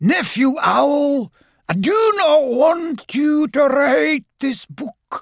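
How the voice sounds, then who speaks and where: Someone uses a put-on character voice at a very slow pace. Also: man, extremely high pitch for a man. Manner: ghostly, echoing.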